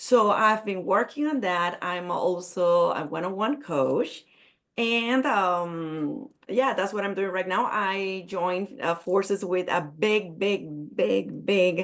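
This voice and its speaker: Very slow speech from a woman in a Spanish accent, medium in pitch. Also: ordinary pitch variation. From Puerto Rico. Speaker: business coach. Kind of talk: networking event self-introduction. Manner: halting.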